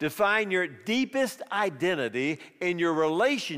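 Lively intonation runs through the speech. It is a natural reading voice.

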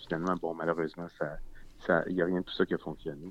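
This man has a Quebec accent. His pitch is very deep and low. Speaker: documentary filmmaker. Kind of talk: interview. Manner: halting.

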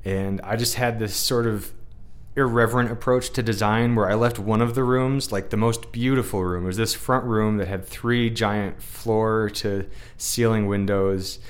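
With audible room echo, a man of medium pitch speaks at a moderate pace in a monotone, flat way. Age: 30s. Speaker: podcast host. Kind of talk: casual chat.

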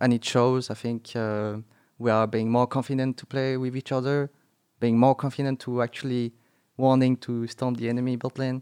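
A man speaks at a medium pitch and moderate pace, his intonation monotone and flat. The sound is dry and close with no echo, on a very clean recording with a silent background. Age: 20s. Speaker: professional esports player. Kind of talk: interview.

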